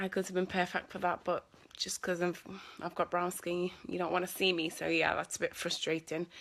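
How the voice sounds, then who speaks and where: A woman's bright, sharp voice, fairly low in pitch, at a moderate pace on a very clean recording with a silent background. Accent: Scouse. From Liverpool, England. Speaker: actress. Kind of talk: live Q&A stream. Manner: casual, hesitant with fillers.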